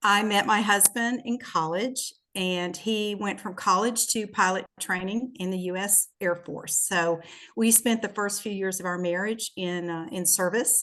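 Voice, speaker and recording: With a Southern US accent, a woman talks at a fairly slow pace in a bright, sharp tone, her medium pitch showing ordinary variation. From US South, Shreveport, Louisiana. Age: 60s. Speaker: businesswoman and podcast guest. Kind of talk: casual interview, personal testimony.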